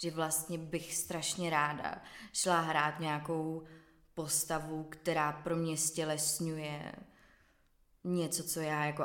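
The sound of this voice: Her voice sits low in pitch for a woman. There is little pitch movement as she speaks.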